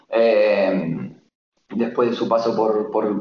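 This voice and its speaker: Audible room echo surrounds a man's voice. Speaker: futsal journalist. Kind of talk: sports analysis interview.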